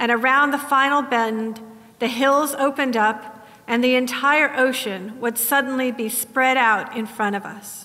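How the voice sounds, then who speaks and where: This woman's voice is high in pitch, with fairly even intonation. She speaks at a fairly slow pace. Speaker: sermon preacher. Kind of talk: sermon. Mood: reflective, mournful. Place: church.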